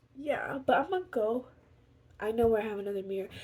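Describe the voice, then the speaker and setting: The intonation is lively. Noticeable background noise is present. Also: woman. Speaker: makeup vlogger. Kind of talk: casual makeup tutorial chat. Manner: animated.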